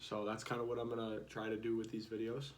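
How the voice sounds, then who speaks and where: With an American accent, a man at medium pitch talks at a fairly quick pace in audible room echo. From South Dakota, US Midwest. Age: 20s. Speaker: vlogger. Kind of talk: casual vlog monologue. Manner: halting, many fillers.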